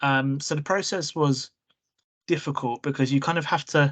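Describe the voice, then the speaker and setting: The speaker has an English accent and a moderate pace. The background is quiet. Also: man. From England, born in Prague. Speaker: trainee solicitor. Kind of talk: interview.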